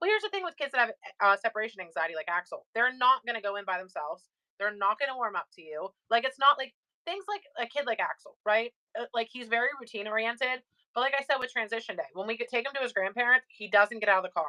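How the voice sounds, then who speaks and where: A woman with fairly high pitch and a bright, sharp tone speaks at a very fast pace with lively intonation. The sound is dry and close with no echo. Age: 20s. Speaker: live-stream seller and mother. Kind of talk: casual chat.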